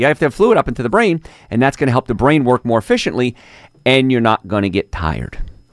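Lively intonation and vocal fry from a man at a medium pitch. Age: 50s. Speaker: radio host and chiropractor. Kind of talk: radio talk show monologue.

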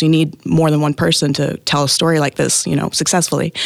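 Speaking at a very fast pace, a woman with an American accent uses a very deep, low pitch and fairly even intonation. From Oklahoma (Tahlequah). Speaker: actress. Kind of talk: interview.

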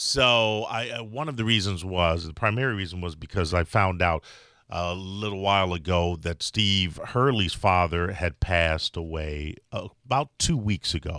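With an American accent, a man speaks at a very deep, low pitch in a bright, sharp tone, using ordinary pitch variation and hardly any pauses, on a very clean recording with a silent background. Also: moderate pace. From Chicago. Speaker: radio host. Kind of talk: casual radio talk. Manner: halting.

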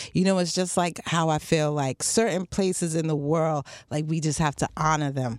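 A woman with an American accent and a very deep, low pitch, at a moderate pace on a very clean recording with a silent background. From Harlem, New York, US. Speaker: film series co-founder. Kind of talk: radio interview. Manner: animated.

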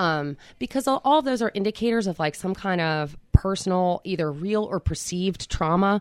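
A woman with a plain, everyday voice speaks at a fairly low pitch with lively intonation. The sound is dry and close with no echo, in a very clean recording with a silent background. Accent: American. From Philadelphia area, New Jersey side. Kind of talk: interview, personal testimony.

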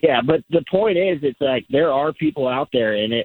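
The speaker has a plain, everyday voice. Intonation is lively and the pace fairly quick. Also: man. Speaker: caller. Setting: phone call.

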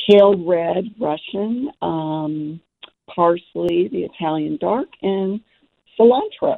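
Speaking at a very slow pace, a woman uses lively intonation at a fairly low pitch. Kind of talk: friendly casual chat about gardening. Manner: relaxed, conversational, a little hesitant with filler 'um'.

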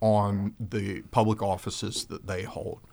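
A man with a fairly low pitch and an unremarkable speaking voice talks at a fairly slow pace. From US South (South Georgia). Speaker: attorney and political candidate. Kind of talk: radio interview. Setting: studio.

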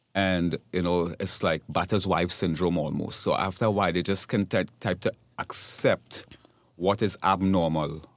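On a very clean recording with a silent background and a dry, close sound free of echo, a man with a very deep, low pitch talks at a fairly slow pace, his loudness very even and his intonation fairly even. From Trinidad and Tobago. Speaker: nonprofit vice president. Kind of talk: radio interview.

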